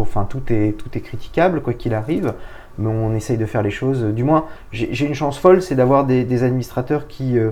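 Noticeable background noise under a man speaking with ordinary pitch variation. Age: 40s. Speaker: business executive. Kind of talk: interview.

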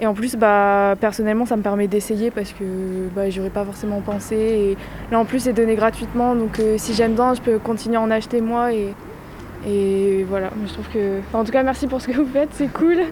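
Against noticeable background noise, a woman with a fairly high pitch speaks at a moderate pace and fairly even intonation. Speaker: student. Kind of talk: vox pop interview.

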